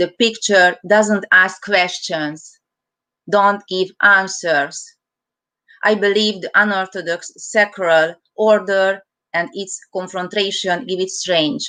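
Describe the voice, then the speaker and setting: A woman's medium-pitched voice with a Hungarian accent, bright and sharp in tone, very slow in pace, with fairly even intonation, against a quiet background. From Hungary. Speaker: artist. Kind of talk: reading aloud artist statement.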